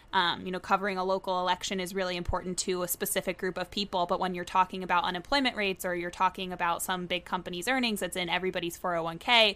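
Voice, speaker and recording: Her delivery is very fast and monotone, a woman at medium pitch with a bright, sharp tone and flat intonation. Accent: American. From Tallahassee, Florida. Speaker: podcast host, journalist. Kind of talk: casual interview.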